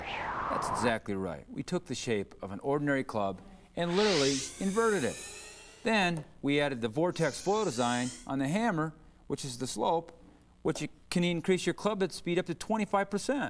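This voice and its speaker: The speaker's pitch swings very widely at a moderate pace. Music plays in the background. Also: man, high pitch for a man. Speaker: golf long-drive champion. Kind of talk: infomercial interview answer. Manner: enthusiastic.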